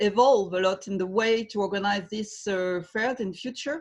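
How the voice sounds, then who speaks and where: Over a quiet background, a woman with a slight French accent talks at a moderate pace, somewhat breathy, with ordinary pitch variation. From France. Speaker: trade fair president. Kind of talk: webinar panel discussion. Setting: video call. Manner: halting.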